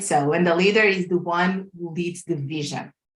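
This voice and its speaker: A woman with a Portuguese accent, fairly low in pitch, with fairly even intonation at a moderate pace. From Portugal. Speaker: life coach and corporate leader. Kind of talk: casual interview chat. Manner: halting, many fillers.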